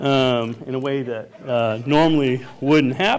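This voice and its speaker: Over noticeable background noise, a man with a New England accent speaks at a fairly slow pace. His pitch is medium and his intonation fairly even. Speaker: resident giving public comment. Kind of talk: public comment at planning commission hearing. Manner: halting, many fillers.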